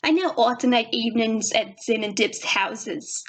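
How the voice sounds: This is a natural reading voice. The words are read aloud in it.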